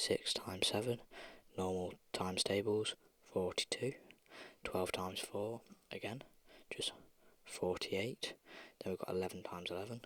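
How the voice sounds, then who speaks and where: Soft-spoken with long, frequent pauses, the voice comes through in a very clean recording with a silent background. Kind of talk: ASMR maths walkthrough. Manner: slow.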